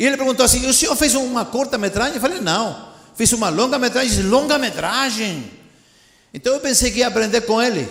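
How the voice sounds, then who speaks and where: A man with a Spanish accent talks very fast in an animated tone at an extremely high pitch, with audible room echo. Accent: Spanish-accented Portuguese (portunhol). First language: Spanish (speaking Portuguese). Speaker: missionary preacher. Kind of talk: sermon. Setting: church.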